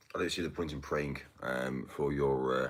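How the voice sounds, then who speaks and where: In a British accent, a man talks with a very deep, low pitch and vocal fry. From UK. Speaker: livestreamer. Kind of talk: casual livestream chat. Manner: halting.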